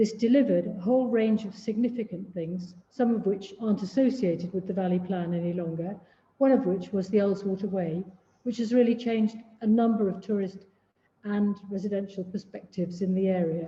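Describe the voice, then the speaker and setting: Fairly even intonation carries the words along at a fairly quick pace. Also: woman, medium pitch for a woman. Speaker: chair of a countryside charity, giving a talk. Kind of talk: illustrated talk. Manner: loud.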